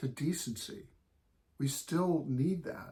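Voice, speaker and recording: A somewhat breathy man's voice with an American accent, at a very slow pace with ordinary pitch variation. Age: 60s. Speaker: gardening blogger's husband. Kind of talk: reflective remarks.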